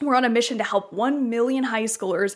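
A woman speaks in an animated tone. Her voice is fairly high, with ordinary pitch variation. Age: 20s. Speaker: podcast host and company founder. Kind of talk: scripted show announcement; casual interview chat.

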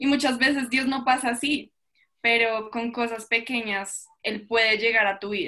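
A woman's fairly high, bright, sharp voice at a fairly slow pace, with fairly even intonation. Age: young. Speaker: church youth leader and student. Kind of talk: faith testimony in casual podcast chat.

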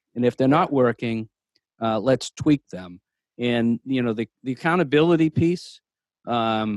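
Recorded very cleanly over a silent background with a dry, close sound and no echo, a man talks in a normal speaking voice at medium pitch with ordinary pitch variation. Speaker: state legislator and panelist. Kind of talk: panel discussion.

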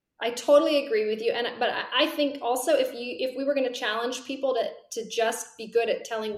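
At a moderate pace, a woman talks with audible room echo. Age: 40s. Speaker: career coach and author. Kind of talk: interview.

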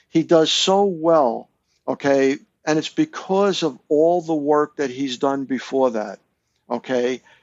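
This man speaks very slowly with an American accent. His voice is fairly high, with ordinary pitch variation. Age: 60s. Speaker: author and longtime fan. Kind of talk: casual chat.

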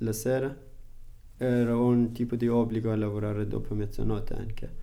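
Amid audible room echo, a man of medium pitch speaks at a fairly slow pace in a dark, mellow tone with monotone, flat intonation. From Afghanistan. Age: 20s. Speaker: food delivery rider and adult student. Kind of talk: interview. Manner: halting non-native Italian.

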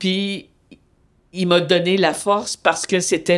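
A woman's fairly low voice at a very slow pace, in a very clean recording with a silent background. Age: 60s. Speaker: retired feminist activist, host's mother. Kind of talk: interview testimony.

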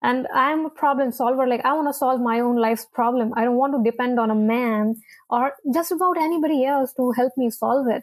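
Against a quiet background, a woman with an American accent speaks fairly quickly in a high voice. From India. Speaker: immigration consultant. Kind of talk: interview.

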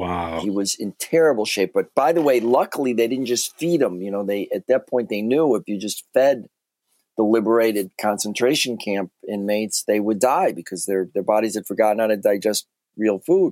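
This man has an unremarkable speaking voice, fairly low in pitch with ordinary pitch variation and an American accent, at a moderate pace. The recording is very clean with a silent background and a dry, close sound with no echo. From US Midwest (Chicago). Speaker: author and banker. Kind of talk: interview.

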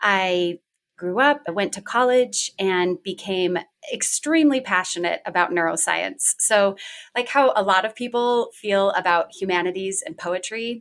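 Speaking at a fairly slow pace, a woman with an unremarkable speaking voice holds a medium pitch with ordinary pitch variation. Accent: American. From Washington State, US. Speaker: therapist in training, yoga teacher. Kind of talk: casual chat.

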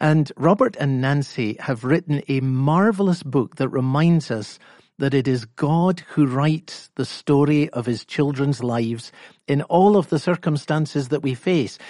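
The background is quiet as a man talks in a plain, everyday voice. His pitch is fairly high, with ordinary pitch variation. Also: fairly slow pace. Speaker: pastor. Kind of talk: sermon.

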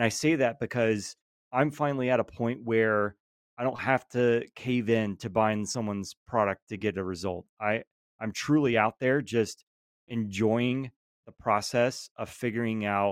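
Speaking in a Southern US accent, a man uses a medium pitch, a moderate pace and fairly even intonation, with a dry, close sound and no echo. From Georgia. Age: 30s. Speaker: lawn care content creator. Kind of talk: casual chat.

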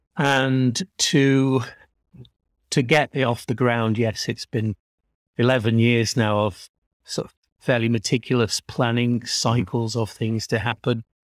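The recording is very clean, silent in the background, and dry and close with no echo. A man speaks fairly slowly in a plain, everyday voice of medium pitch with fairly even intonation. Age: 50s. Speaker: artist and gallery worker. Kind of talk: casual interview.

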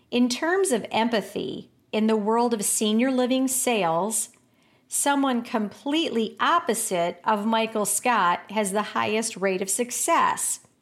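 In a very clean recording with a silent background, a normal speaking voice moves at a fairly slow pace, its loudness very even and its intonation lively. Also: woman, fairly high pitch for a woman. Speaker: senior living sales coach and podcast contributor. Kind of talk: scripted narration.

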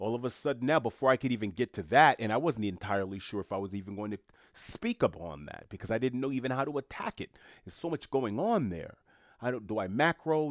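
A man with a New York accent talks at a very fast pace in an animated, medium-pitched voice with big swings in loudness. The recording is very clean, with a silent background and a dry, close sound with no echo. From New York City, Haitian family. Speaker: solo podcast host. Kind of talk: solo commentary monologue.

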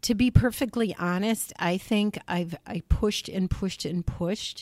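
A woman's very slow voice in an American accent, with ordinary pitch variation, dry and close with no echo, on a very clean recording with a silent background. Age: 60s. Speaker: state senator. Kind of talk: interview. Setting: studio.

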